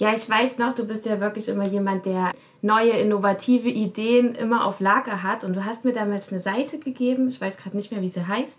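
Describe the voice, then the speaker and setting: The speech moves at a fairly quick pace with fairly even intonation over noticeable background noise. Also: woman, fairly high pitch for a woman. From Germany. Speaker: research assistant and podcast producer. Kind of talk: casual chat.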